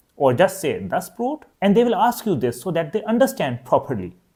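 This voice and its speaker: A man with a high pitch and a dark, mellow tone swings his pitch very widely. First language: Urdu. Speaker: language teacher. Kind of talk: tutorial.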